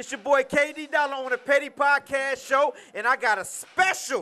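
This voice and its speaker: At a moderate pace, a man speaks in a raised, projected voice with ordinary pitch variation. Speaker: podcast host. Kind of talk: casual interview banter. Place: bar. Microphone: handheld.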